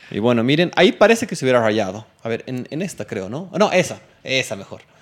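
Speaking at a moderate pace, a man with a medium-pitched voice swings his pitch very widely. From Bolivia. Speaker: tech podcast host. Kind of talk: casual chat.

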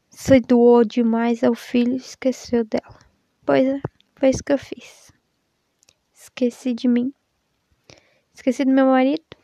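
In a dry, close sound with no echo, the speaker goes at a fairly slow pace with fairly even intonation and long, frequent pauses. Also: woman, high pitch for a woman. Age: 20s. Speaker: podcaster and mother. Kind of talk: personal monologue.

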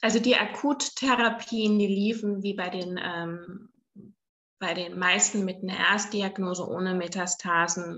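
A woman's voice of medium pitch with ordinary pitch variation. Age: 50s. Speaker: cancer patient and blogger. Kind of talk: interview, personal story. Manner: hesitant, many filler sounds.

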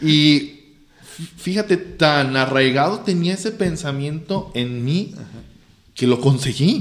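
A man speaks at a very slow pace with a fairly high pitch. His intonation is lively and his loudness swings widely. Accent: Mexican. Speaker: teacher and engineer. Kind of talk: casual chat.

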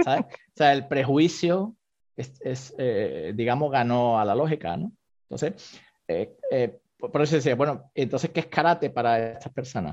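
A man's normal speaking voice, fairly high in pitch, with lively intonation at a fairly slow pace. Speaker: karate teacher practicing several martial arts. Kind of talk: interview discussion.

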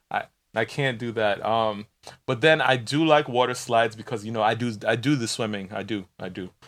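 In a normal speaking voice, a man talks at a moderate pace and a medium pitch that varies in an ordinary way. The background is silent and the recording very clean. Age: 30s. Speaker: podcast co-host. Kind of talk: casual chat.

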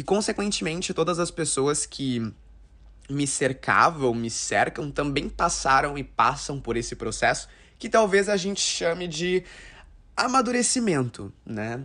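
A man talks at a fairly slow pace. His fairly high voice makes very wide pitch swings. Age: 20s. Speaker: podcast host. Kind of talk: casual monologue.

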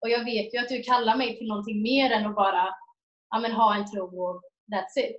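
A woman speaks at a fairly quick pace with a fairly high pitch. Her voice is somewhat breathy, with ordinary pitch variation. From Sweden, Jönköping. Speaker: missionary volunteer. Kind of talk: interview testimony.

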